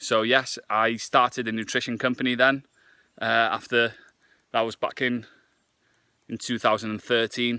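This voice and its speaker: A man with a Welsh accent, bright, sharp tone, medium pitch, monotone, flat intonation, moderate pace and long, frequent pauses, on a very clean recording with a silent background. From Wales. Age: 20s. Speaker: fitness vlogger and nutritionist. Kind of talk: casual vlog to camera.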